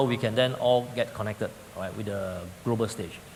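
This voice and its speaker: A man's fairly brisk speech comes through noticeable background noise. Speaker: business forum panelist. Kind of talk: panel discussion.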